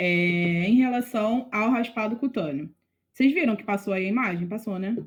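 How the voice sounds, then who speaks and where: A woman speaks with a somewhat breathy voice. Her intonation is lively. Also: fairly high pitch for a woman, moderate pace. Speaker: veterinary student tutor. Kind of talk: online tutoring lecture.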